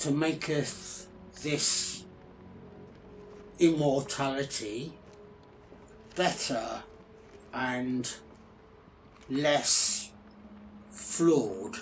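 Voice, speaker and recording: Clear background noise sits behind a man using a put-on character voice at a fairly high pitch. He talks very slowly, with long, frequent pauses. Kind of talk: ASMR character roleplay.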